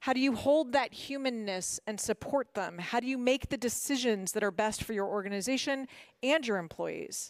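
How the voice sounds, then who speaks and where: A woman's fairly high voice in a Mid-Atlantic accent, lively in intonation and moderate in pace, on a very clean recording with a silent background. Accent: American, Mid-Atlantic. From Washington, D.C., US. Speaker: motivational speaker, former corporate lawyer. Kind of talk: prepared talk. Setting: stage with audience.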